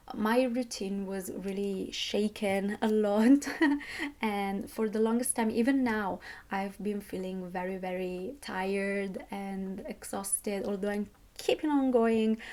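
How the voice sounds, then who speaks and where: This woman has a dark, mellow tone and a non-native accent, and her intonation stays fairly even. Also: medium pitch for a woman, fairly slow pace. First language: not English. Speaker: budgeting vlogger, university student. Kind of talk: casual monthly budget reflection vlog. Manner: hesitant, with fillers and self-corrections.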